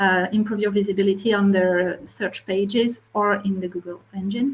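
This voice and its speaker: A somewhat breathy woman with a French accent and medium pitch talks at a moderate pace with fairly even intonation. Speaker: marketplace retail media specialist. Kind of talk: webinar panel discussion. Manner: halting.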